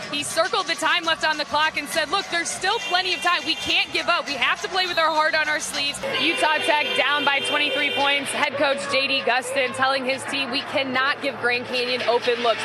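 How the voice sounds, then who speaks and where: With music in the background, a woman uses a raised, projected voice, high in pitch with ordinary variation, talking fairly quickly with hardly any pauses. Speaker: sports broadcaster. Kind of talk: sideline report relaying a coach's halftime or timeout comments.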